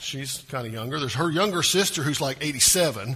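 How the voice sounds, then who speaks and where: Speaking at a moderate pace, a man with a Southern US accent has a fairly high voice. Audible room echo and noticeable background noise fill the recording. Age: 50s. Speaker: pastor. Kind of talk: sermon.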